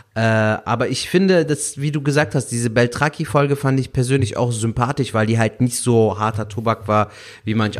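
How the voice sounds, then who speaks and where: A man speaks at a moderate pace. His pitch is medium, and his intonation is lively. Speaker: stand-up comedian. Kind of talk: casual chat. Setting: video call. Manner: melodic.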